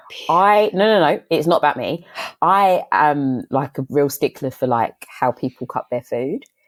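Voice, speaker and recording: In an English accent, a woman with a very deep, low pitch speaks at a fairly slow pace with lively intonation, the sound dry and close with no echo. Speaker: podcast guest. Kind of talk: casual chat.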